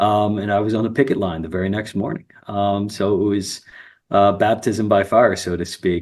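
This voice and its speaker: A man with an American accent, fairly even intonation and a moderate pace. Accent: slight New Jersey accent at times. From New Jersey. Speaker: union representative. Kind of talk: interview. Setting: live stream. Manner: hesitant, many fillers.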